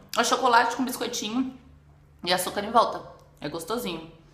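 Her voice comes with audible room echo. The speaker is a woman. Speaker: food vlogger. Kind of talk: casual vlog chat. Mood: relaxed, curious, amused. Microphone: phone near.

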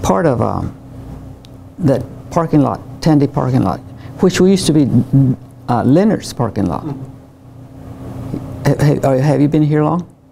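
The speaker uses lively intonation at a moderate pace, with long, frequent pauses. Light background noise is present. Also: woman, very deep, low pitch for a woman. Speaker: oral history interviewee. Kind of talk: interview answer. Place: classroom. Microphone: lapel.

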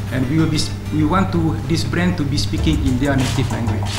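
Against loud music in the background, a man talks at a fairly quick pace. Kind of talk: interview answer. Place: hall. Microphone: podium.

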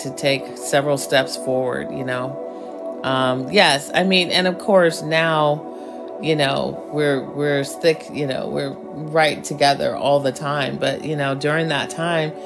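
Music plays in the background as a woman speaks at a very slow pace. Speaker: affirmation guide. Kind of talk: casual live-stream chat.

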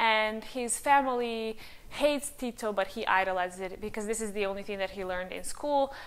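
A woman with a Serbian accent talks at a fairly quick pace in a fairly high pitch with ordinary pitch variation. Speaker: language-learning youtuber. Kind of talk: casual vlog monologue. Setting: home recording with new microphone. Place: home room. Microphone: lapel.

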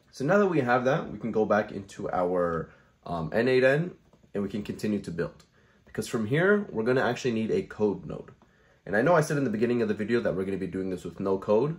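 His pitch swings very widely. The man speaks very fast. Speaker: tutorial creator. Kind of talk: tutorial. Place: home room.

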